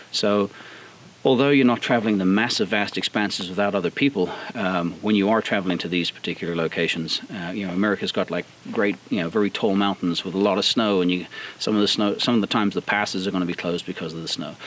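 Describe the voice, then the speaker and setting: A man talks at a very fast pace in a fairly low pitch with fairly even intonation. Noticeable background noise runs beneath his voice. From South Africa. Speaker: off-road vehicle builder. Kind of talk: outdoor interview. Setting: outdoors. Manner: hesitant, many fillers.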